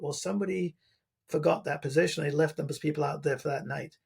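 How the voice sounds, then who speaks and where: A man talks at a very fast pace. His voice carries vocal fry. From England. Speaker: retired coast guard pilot. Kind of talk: podcast interview storytelling. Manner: casual, with many fillers and restarts.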